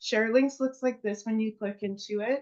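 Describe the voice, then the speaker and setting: A woman's fairly high, fairly evenly intoned voice, an unremarkable speaking voice. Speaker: network marketing presenter. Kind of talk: presentation to a seminar audience.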